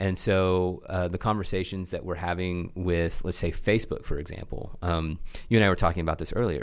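With a slight Oklahoma accent, a man speaks at a fairly quick pace in a very deep, low voice with ordinary pitch variation. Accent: slight Oklahoma twang. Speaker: church tech school leader. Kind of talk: casual interview conversation.

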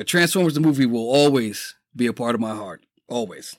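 Speaking at a moderate pace, a man has a New York accent and ordinary pitch variation. His recording is very clean against a silent background. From New York City, the Bronx. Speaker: podcast host. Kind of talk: casual monologue. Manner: animated.

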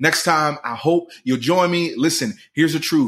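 A man talks at a fairly slow pace in a normal speaking voice with an American accent and ordinary pitch variation, on a very clean recording with a silent background. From Philadelphia, US. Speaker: podcast host and pastor. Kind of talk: motivational monologue.

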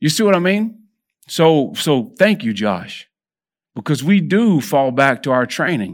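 In a very clean recording with a silent background, a man speaks with a Texan accent. His pitch swings are very wide. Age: 50s. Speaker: lay preacher. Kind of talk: sermon. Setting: church.

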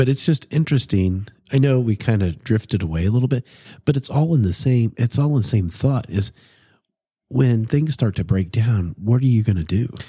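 A man's medium-pitched, somewhat breathy voice, dark and mellow in tone, at a moderate pace with lively intonation and very even loudness, on a very clean recording with a silent background. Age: 40s. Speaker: podcast co-host. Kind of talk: casual chat.

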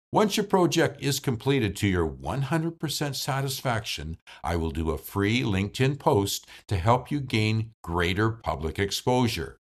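Vocal fry and very wide pitch swings mark this man's voice at a moderate pace. The recording is very clean, with a silent background. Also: medium pitch for a man. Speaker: voice actor podcast host. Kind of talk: solo podcast monologue about voice work. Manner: animated, does accent impressions.

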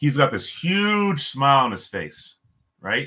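A man with a Canadian accent speaks in a bright, sharp tone. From Toronto, Canada. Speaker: former pro hockey player. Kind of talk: casual storytelling interview. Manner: animated storyteller.

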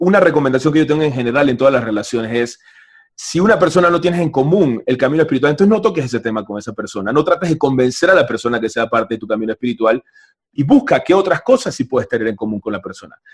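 A man's fairly high voice races along very fast. His intonation is lively. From Panama. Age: 30s. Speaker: spiritual teacher. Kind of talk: casual chat. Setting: video call.

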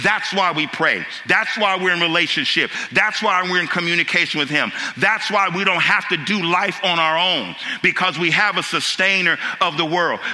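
A man's animated, high-pitched voice at a moderate pace, very even in loudness, over noticeable background noise. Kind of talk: sermon. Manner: animated, call-and-response preaching with rhetorical questions.

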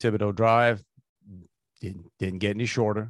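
A man speaks with a South Louisiana accent in a fairly low pitch. The sound is dry and close with no echo, over a quiet background. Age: 50s. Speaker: podcast co-host. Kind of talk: casual chat. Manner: halting.

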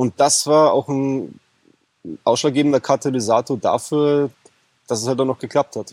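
A man's medium-pitched voice at a moderate pace, with long, frequent pauses and fairly even intonation. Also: dry, close sound with no echo. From Bavaria, Germany. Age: 30s. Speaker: e-commerce coaching client. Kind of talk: interview. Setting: in person on Mallorca.

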